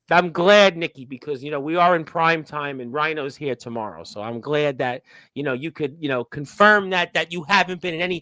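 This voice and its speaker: A man with a Brooklyn accent, bright and sharp in tone, fairly quick, with ordinary pitch variation and a dry, close sound with no echo on a very clean recording over a silent background. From New York, Brooklyn. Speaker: wrestling radio host. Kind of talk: casual interview. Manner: animated.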